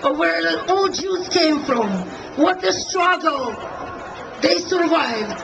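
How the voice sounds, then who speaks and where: A woman speaks fairly slowly while background noise is noticeable. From Soviet Union. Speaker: rally attendee, Soviet emigre. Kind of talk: impassioned political speech at a rally. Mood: impassioned, indignant. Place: street. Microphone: pa.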